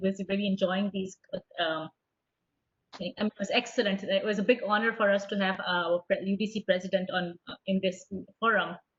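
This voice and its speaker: A woman talks at a fairly quick pace in a somewhat breathy voice. Her pitch is medium for a woman. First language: not English. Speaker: conference organizer, academic. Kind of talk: closing remarks at online conference. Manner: halting.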